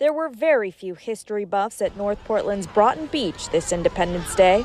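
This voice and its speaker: Against noticeable background noise, a woman keeps a moderate pace and uses lively intonation. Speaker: TV news reporter, bilingual investigative journalist. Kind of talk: TV news package voiceover.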